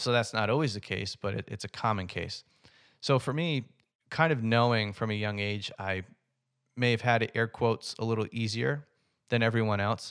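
Recorded very cleanly against a silent background, a man uses a normal speaking voice with ordinary pitch variation. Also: medium pitch for a man, moderate pace. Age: 30s. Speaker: podcast host. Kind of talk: solo podcast monologue. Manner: casual, filler-heavy.

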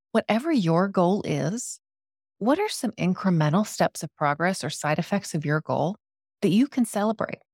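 With an enthusiastic tone and lively intonation, a woman of medium pitch speaks at a moderate pace in a very clean recording with a silent background and a dry, close sound with no echo. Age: 40s. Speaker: podcast host and life coach. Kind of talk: solo podcast talk.

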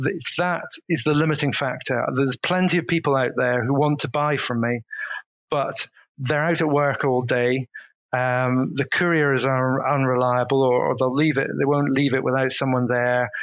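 A man talks at a moderate pace in an ordinary speaking voice, pitched in the medium range. His loudness stays very even and his intonation fairly even. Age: 50s. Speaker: organic farmer and butcher. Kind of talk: casual interview.

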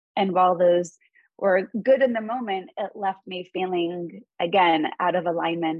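A woman's fairly low-pitched voice, an ordinary speaking voice, with fairly even intonation at a moderate pace. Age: 40s. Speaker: mindfulness and meditation teacher. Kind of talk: interview.

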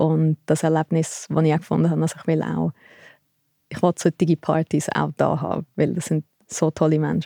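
The recording of this woman is very clean, with a silent background. She talks at a moderate pace, and the sound is dry and close with no echo. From Switzerland, Thalwil near Zurich. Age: 30s. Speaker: sports photographer and fan culture researcher. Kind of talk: interview conversation.

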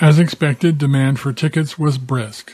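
The man's voice is somewhat breathy and moves at a moderate pace. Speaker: documentary narrator. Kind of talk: sports history documentary narration, scripted. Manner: measured, formal storytelling; steady, authoritative delivery.

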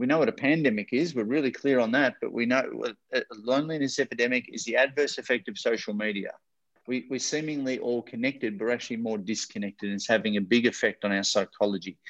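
With an Australian accent, a man talks very fast at medium pitch with ordinary pitch variation, recorded dry and close with no echo. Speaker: motivational speaker and author. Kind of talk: interview. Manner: animated.

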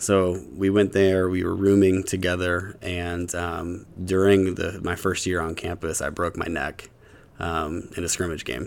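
This man speaks at a fairly slow pace in a very deep, low pitch, his intonation monotone and flat. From West Virginia, Huntington. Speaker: pastor and filmmaker. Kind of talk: casual interview. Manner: halting, many fillers.

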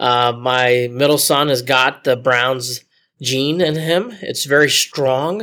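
Speaking at a very slow pace with an American accent, a man uses a medium pitch, ordinary pitch variation and a bright, sharp tone in a very clean recording with a silent background. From Ohio, Cleveland area. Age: 40s. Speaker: sports documentary producer. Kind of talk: interview.

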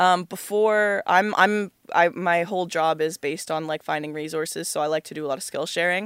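In an unremarkable speaking voice, a woman talks at a fairly quick pace with hardly any pauses, her fairly low pitch and fairly even intonation caught in a dry, close sound with no echo on a very clean recording with a silent background. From Ontario, Canada. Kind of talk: casual interview chat.

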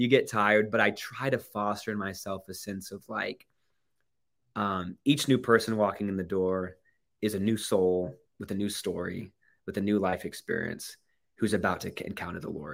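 On a very clean recording with a silent background, a man with an unremarkable speaking voice and fairly low pitch talks at a moderate pace, with fairly even intonation but big swings in loudness. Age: 20s. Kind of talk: interview.

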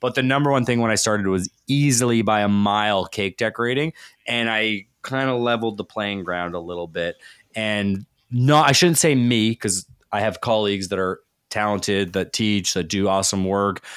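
An ordinary speaking voice with a Canadian accent, at a moderate pace with ordinary pitch variation, on a very clean recording with a silent background and a dry, close sound with no echo. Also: man, fairly low pitch for a man. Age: 40s. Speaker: chef and baking professor. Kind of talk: casual interview.

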